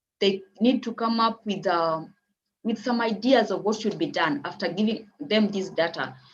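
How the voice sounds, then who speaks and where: Pitched at a medium level, a woman's voice sounds somewhat breathy. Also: ordinary pitch variation. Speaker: community mapper. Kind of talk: conference presentation. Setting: online event. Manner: fast.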